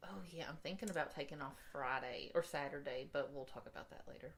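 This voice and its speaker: Here a woman talks at a fairly quick pace. She has an Appalachian accent. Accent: Appalachian US Southern. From Eastern Kentucky. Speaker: podcast co-host. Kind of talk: casual chat.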